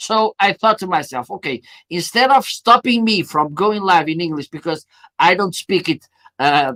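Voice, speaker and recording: A man's high-pitched voice, bright and sharp in tone, at a moderate pace with ordinary pitch variation, in a dry, close sound with no echo. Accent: Portuguese. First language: Portuguese. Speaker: live streaming marketer, show host. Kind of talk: live stream interview.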